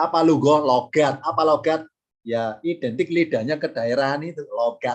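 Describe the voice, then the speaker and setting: Fairly slow speech in a Javanese accent. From Java, Indonesia. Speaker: Arabic grammar and Quran studies teacher. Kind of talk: online class lecture. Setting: recorded online class.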